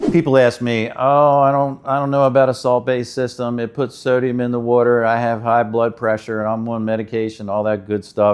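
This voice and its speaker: A man with an ordinary speaking voice talks at a medium pitch and a fairly quick pace, with fairly even intonation and hardly any pauses. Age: 60s. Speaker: water treatment installer. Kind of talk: explainer talk to camera.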